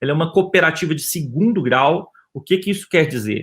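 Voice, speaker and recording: A man in a Minas Gerais accent, fairly high pitch, lively intonation and fairly quick pace. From Brazil, Minas Gerais. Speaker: physician and health insurance executive. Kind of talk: webinar panel talk. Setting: online webinar. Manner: hesitant, many fillers.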